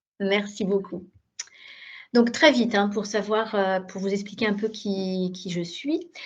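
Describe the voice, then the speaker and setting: A woman speaks at a very slow pace with a medium pitch. Her voice is somewhat breathy, with ordinary pitch variation. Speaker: digital education program director. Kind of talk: webinar presentation. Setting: video conference. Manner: hesitant, many fillers.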